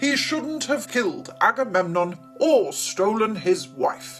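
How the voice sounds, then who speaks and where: A put-on character voice moves at a fairly slow pace with very wide pitch swings. Clear music plays in the background. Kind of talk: educational reading and explanation.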